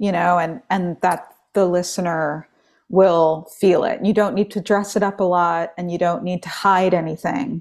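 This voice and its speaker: A woman with a fairly low pitch talks at a fairly slow pace in an American accent. She has an unremarkable speaking voice and fairly even intonation. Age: 30s. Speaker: singer-songwriter. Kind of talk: casual chat. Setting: video call.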